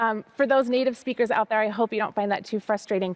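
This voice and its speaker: A woman speaks in an American accent. Her tone is animated, with ordinary pitch variation. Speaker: storyteller teaching Arabic to children. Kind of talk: children's story time and language lesson. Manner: animated, encouraging.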